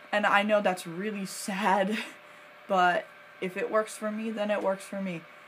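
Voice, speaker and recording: A woman speaks at medium pitch and a moderate pace. Noticeable background noise runs underneath. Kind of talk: casual talk to camera. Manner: hesitant, stuttering at times.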